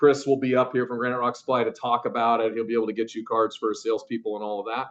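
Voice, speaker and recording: A man speaks at a medium pitch. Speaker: environmental consultant presenter. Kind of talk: training presentation. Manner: fast.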